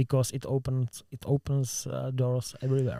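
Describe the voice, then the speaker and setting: With a Czech accent, a man at a medium pitch speaks at a fairly slow pace in monotone, flat intonation and a dark, mellow tone, the sound dry and close with no echo. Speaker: podcast host. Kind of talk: casual interview. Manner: halting.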